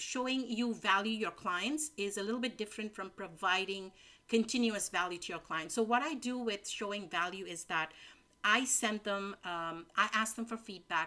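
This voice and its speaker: A woman talks at a moderate pace with a medium pitch. Her tone is bright and sharp, with ordinary pitch variation. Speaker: business coach. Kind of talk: webinar presentation.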